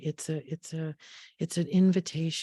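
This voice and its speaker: Against a quiet background, a woman talks at a moderate pace with fairly even intonation. Her fairly low voice has a dark, mellow tone. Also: dry, close sound with no echo. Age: 70s. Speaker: therapist and teacher. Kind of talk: online workshop lecture. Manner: hesitant, repetitive fillers.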